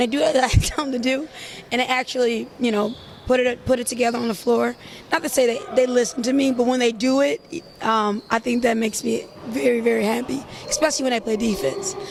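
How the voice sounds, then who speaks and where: A loud woman's voice, high in pitch with ordinary pitch variation, at a very fast pace over noticeable background noise. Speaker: basketball league statistician and analyst. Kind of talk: casual chat.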